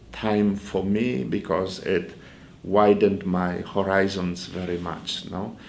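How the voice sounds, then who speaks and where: A man with a Polish accent speaks very slowly in a fairly low pitch, with ordinary pitch variation and audible room echo. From Poland. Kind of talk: interview. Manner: halting.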